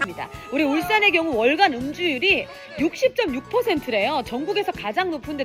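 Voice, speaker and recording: Over music in the background, a woman's voice makes very wide pitch swings. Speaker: TV broadcaster, live show host. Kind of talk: live TV program presenting.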